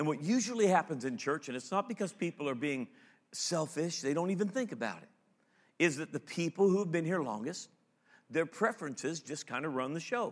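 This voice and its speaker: In a very clean recording with a silent background, a man with a plain, everyday voice talks at a fairly high pitch with lively intonation. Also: fairly quick pace. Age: 50s. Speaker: pastor. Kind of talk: sermon. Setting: stage with audience.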